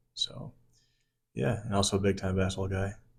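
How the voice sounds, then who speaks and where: At a fairly quick pace, a man speaks in a fairly low pitch. His voice is somewhat breathy. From US Midwest, Chicago. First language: French. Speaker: army sergeant and financial advisor. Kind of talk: podcast interview.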